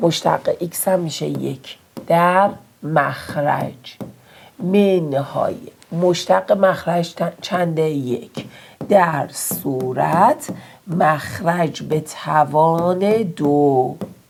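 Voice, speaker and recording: A woman speaks at a very slow pace. Her pitch is fairly low and varies in an ordinary way. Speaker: math teacher. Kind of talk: tutorial. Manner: casual, encouraging.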